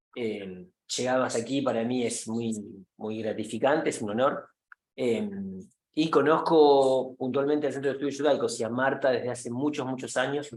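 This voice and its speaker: A man's medium-pitched voice with ordinary pitch variation, moderate pace, and audible room echo. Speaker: professor. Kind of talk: lecture. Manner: halting with fillers.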